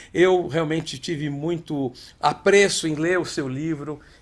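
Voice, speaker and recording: An ordinary speaking voice from a man, fairly high in pitch, comes at a fairly slow pace with ordinary pitch variation. The recording is very clean, with a silent background. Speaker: interviewer, show host. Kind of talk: interview question.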